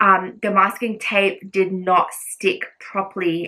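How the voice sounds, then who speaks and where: The voice is loud. Its tone is bright and sharp. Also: woman. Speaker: lifestyle vlogger. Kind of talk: casual vlog tutorial. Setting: home bedroom.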